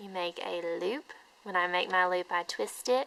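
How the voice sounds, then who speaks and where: A woman's medium-pitched voice, bright and sharp in tone, with ordinary pitch variation. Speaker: knitting hobbyist. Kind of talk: tutorial. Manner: deliberately slow.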